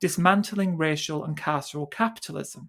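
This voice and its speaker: A woman with a British accent speaks fairly quickly in a fairly low, somewhat breathy voice, on a very clean recording with a silent background. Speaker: podcast host. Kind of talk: podcast interview.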